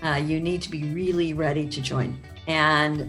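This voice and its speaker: Over music in the background, a woman with an American accent speaks at a very deep, low pitch. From Chicago. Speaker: actress and voice-over artist. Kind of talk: interview answer. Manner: casual, conversational.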